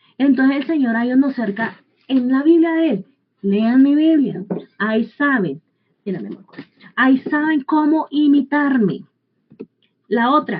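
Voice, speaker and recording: Lively intonation runs through this fairly slow delivery, broken by long, frequent pauses. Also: woman, high pitch for a woman. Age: 40s. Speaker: Bible teacher. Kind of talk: sermon.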